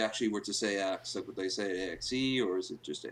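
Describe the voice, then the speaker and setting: A man talks at a fairly quick pace with an Irish accent. His pitch varies in an ordinary way. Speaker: podcast co-host. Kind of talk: casual chat. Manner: halting.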